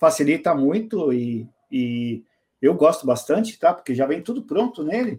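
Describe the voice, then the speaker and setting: A man talks at a moderate pace with lively intonation and a fairly high pitch. His is an unremarkable speaking voice. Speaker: information security specialist and author. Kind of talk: casual chat.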